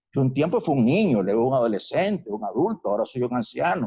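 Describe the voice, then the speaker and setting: With a dark, mellow, somewhat breathy tone, the voice moves at a moderate pace through very wide pitch swings. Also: man. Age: 60s. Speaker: doctor. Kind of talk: lecture. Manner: animated.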